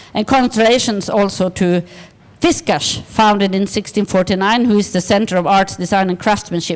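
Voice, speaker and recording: Fairly high-pitched woman's voice at a moderate pace, ordinary pitch variation, and noticeable background noise. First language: Swedish. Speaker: design organisation director. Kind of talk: conference presentation. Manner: halting.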